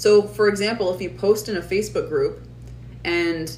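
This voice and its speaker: Fairly quick speech from a woman amid audible room echo. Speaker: online business coach. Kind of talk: live stream class. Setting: live stream. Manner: fast.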